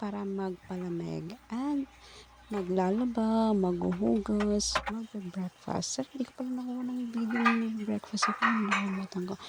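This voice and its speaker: A woman at a moderate pace, medium in pitch, with fairly even intonation and noticeable background noise. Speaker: domestic helper vlogger. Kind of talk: vlog voice-over. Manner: casual, chatty.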